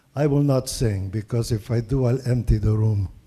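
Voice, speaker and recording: A man speaks fairly slowly with a slight non-native accent. His medium-pitched voice is dark, mellow and somewhat breathy. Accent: slight foreign. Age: 70s. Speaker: Holocaust survivor speaker. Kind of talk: public talk.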